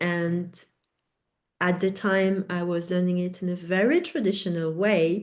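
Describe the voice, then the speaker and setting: Against a quiet background, a woman with a French accent speaks at a fairly slow pace with a fairly low pitch and monotone, flat intonation. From France. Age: 50s. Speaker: educator and author. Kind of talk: webinar Q&A. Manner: halting.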